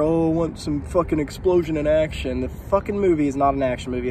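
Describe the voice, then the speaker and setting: A man talks at a moderate pace with ordinary pitch variation, the sound dry with no echo and light background noise behind him. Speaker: film reviewer. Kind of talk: casual vlog chat. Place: street. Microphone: phone near.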